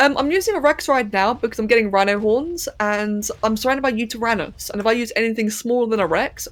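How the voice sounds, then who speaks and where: A woman with a fairly high pitch talks at a very fast pace. She has hardly any pauses and ordinary pitch variation. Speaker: game streamer. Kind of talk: live gameplay stream commentary. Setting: live stream. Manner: slightly slurred speech.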